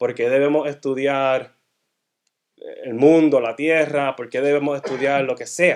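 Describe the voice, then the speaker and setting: A man with a Puerto Rican accent, at a fairly slow pace. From Puerto Rico, then Massachusetts from age eight. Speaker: guest speaker at a church. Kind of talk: sermon-style teaching talk. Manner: halting, frequent self-corrections.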